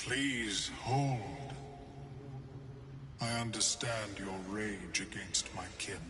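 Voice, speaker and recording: Loud background noise sits behind a man's put-on character voice. He holds a medium pitch and a very slow pace. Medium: machinima. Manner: measured, clinical.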